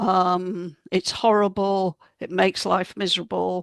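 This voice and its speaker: Recorded very cleanly against a silent background, a woman's voice sounds dry and close with no echo. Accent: British. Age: 70s. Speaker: health author and speaker. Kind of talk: talk to a group.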